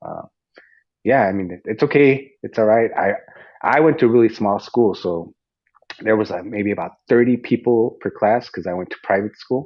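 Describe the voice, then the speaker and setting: With a Spanish accent, a man speaks at a medium pitch with ordinary pitch variation. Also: moderate pace. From US, Mexican-American family. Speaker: fitness coach and podcast host. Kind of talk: casual interview chat. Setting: online audio room. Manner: halting, repeats words.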